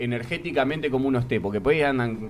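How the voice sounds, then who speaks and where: Fairly quick delivery in a normal speaking voice, pitch varying in an ordinary way. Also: man. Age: 30s. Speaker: theatre actor. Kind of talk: casual chat.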